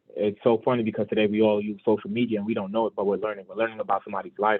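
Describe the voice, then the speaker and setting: A man with a New York accent talks at a medium pitch with fairly even intonation. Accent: New York City. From Brooklyn, New York (Brownsville). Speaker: financial advisor. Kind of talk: motivational talk.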